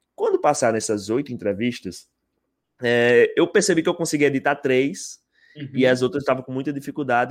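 The very clean recording, with a silent background, captures a man speaking at medium pitch. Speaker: YouTube interviewer. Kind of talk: casual chat. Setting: live stream.

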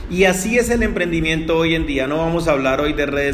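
At a moderate pace, a man speaks through noticeable background noise and audible room echo. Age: 40s. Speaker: network marketing entrepreneur and podcaster. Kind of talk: solo podcast monologue. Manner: hesitant with many fillers and repetitions.

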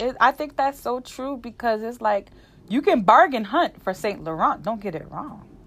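Her pitch is high, and the woman's tone is animated. She keeps a moderate pace. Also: lively intonation. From New Jersey. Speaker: podcast host. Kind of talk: casual chat.

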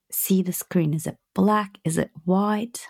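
A woman speaks at a very slow pace in a warm, calm tone, somewhat breathy, on a very clean recording with a silent background. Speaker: podcast host and business coach. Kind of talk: guided meditation, visualisation exercise. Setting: home recording, relaxed. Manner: slow, soft, calm, soothing, with gentle pauses; warm, affectionate, intimate.

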